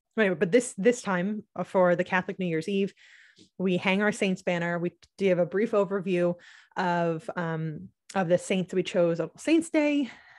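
A woman with an American accent speaks with ordinary pitch variation in a dry, close sound with no echo, on a very clean recording with a silent background. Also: medium pitch for a woman, moderate pace. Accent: slight to none Southern US. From US South, North Carolina. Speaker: podcast host, homeschooling mother. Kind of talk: casual monologue tutorial. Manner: hesitant, many fillers and restarts.

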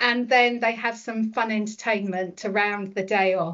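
With a British accent, a woman speaks at a moderate pace and with fairly even intonation. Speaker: school staff member. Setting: online webinar.

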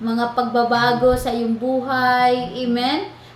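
This woman has a high pitch. Her intonation is monotone and flat. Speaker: online prayer program host. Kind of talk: fervent prayer and preaching. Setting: online prayer program.

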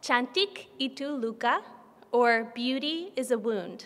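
Her tone is bright and sharp as the woman speaks. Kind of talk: introduction before a literary reading. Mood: warm, smiling. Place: hall. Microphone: podium.

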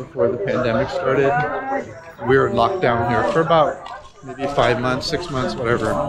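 Loud background noise sits behind a man talking. He speaks at a moderate pace with ordinary pitch variation. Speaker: travel vlogger. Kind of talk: casual vlog chat. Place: market. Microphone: phone near.

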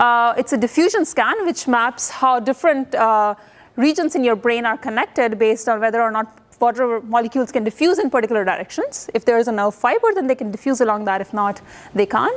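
A woman talks at a fairly quick pace. Her pitch is high, with ordinary pitch variation. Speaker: professor. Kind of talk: lecture. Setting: lecture hall with students. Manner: informal, hesitant with fillers. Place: hall.

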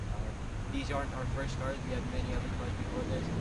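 The sound is dry with no echo, while loud noise fills the background. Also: man. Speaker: car channel co-host. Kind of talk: casual vlog chat. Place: street. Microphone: camera far.

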